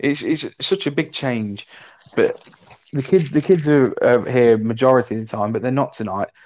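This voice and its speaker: Using a medium pitch with ordinary pitch variation, a man speaks at a moderate pace in an East Midlands accent. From Leicester, England. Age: 30s. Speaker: podcast co-host. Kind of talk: casual chat. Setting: video call.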